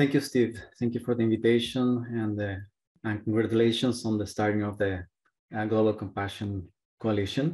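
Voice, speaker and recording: A man with a Spanish accent speaks at a moderate pace in a monotone, flat intonation over a quiet background. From Chile. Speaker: clinical psychologist. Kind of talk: panel discussion. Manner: halting.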